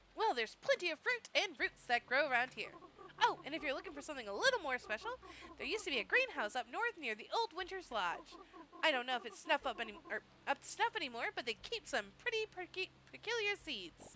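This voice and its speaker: A woman's put-on character voice, extremely high, very fast, with very wide pitch swings. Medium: game stream.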